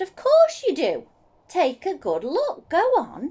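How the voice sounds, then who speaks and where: A woman puts on a character voice at an extremely high pitch. She delivers it at a fairly slow pace. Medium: read story. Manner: eager, friendly.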